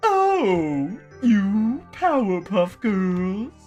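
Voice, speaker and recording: A put-on character voice comes through with faint music in the background. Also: female-sounding voice, medium pitch for a woman. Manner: theatrical, carefully enunciated.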